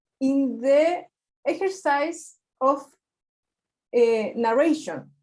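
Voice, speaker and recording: In a Spanish accent, a woman speaks at a very slow pace with a high pitch. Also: ordinary pitch variation. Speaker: research student. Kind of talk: seminar discussion. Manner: halting.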